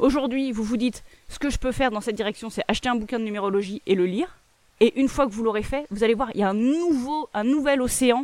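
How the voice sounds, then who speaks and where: The speech goes at a very fast pace with ordinary pitch variation. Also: woman. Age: 30s. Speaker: podcast host. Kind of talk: solo self-help monologue.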